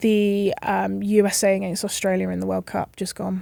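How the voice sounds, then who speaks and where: A woman with an English accent on a very clean recording, silent background. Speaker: rugby referee. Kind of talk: casual chat. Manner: loud.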